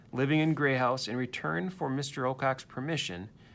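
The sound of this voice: What you hear is an unforced reading voice.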